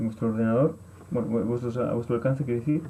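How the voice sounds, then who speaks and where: A man talks in a dark, mellow tone. His intonation stays fairly even. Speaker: workshop trainer. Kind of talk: online course presentation. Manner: fast; poorly articulated, halting.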